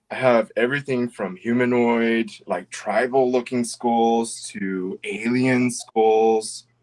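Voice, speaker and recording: A man's medium-pitched voice, very slow, with hardly any pauses and fairly even intonation. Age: 40s. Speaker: crystal carving seller. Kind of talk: casual chat.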